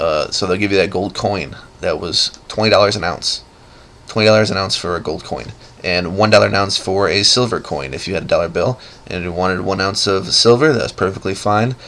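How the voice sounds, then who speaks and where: Fairly quick speech from a man, with noticeable noise in the background. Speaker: amateur video blogger. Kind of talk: casual monologue. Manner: unscripted, halting with fillers.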